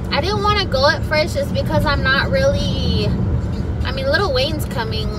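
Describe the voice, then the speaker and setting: Loud background noise surrounds a dry sound with no echo. The pace is moderate. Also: woman. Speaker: vlogger. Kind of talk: casual vlog chat. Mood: chatty, animated. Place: car. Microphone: phone near.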